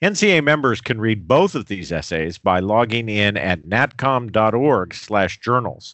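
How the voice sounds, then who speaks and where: With a normal speaking voice, a man at medium pitch talks at a fairly slow pace with lively intonation. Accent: American. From US Southwest, New Mexico. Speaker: podcast host, association executive director. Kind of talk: scripted announcements; interview. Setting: studio.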